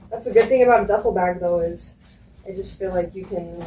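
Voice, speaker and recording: A woman's dark, mellow, somewhat breathy voice with ordinary pitch variation. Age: 20s. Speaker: lifestyle vlogger. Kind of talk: casual vlog packing chat.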